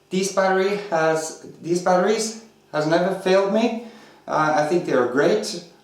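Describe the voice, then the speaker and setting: A man speaks at a high pitch and moderate pace with ordinary pitch variation and very even loudness. Audible room echo and noticeable background noise are present. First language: not English. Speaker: RC hobby video reviewer. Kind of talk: product review tutorial. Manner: hesitant, many fillers.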